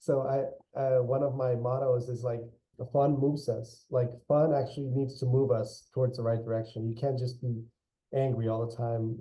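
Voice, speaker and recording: A man's somewhat breathy, medium-pitched voice at a moderate pace, with monotone, flat intonation. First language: Spanish. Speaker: architect and general contractor. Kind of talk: interview. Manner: hesitant, many repeated words.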